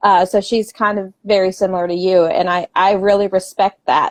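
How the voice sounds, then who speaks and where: A woman speaks at medium pitch in a monotone, flat intonation. The sound is dry and close, with no echo. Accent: American. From Southern West Virginia. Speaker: author. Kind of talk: interview. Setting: podcast.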